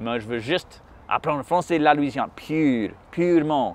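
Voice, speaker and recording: A man's fairly high-pitched voice with an English accent. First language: English (speaking French). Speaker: musician. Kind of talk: interview conversation. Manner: halting, many hesitations.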